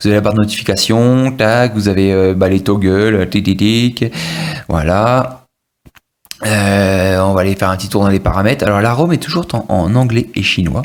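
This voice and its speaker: This man's fairly low voice moves at a moderate pace with ordinary pitch variation. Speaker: tech reviewer. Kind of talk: product review tutorial. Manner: hesitant, many fillers.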